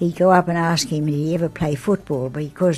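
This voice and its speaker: Here is a woman with an Australian accent. Her pitch sits fairly low. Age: 80s+. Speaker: grandmother. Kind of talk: interview answer.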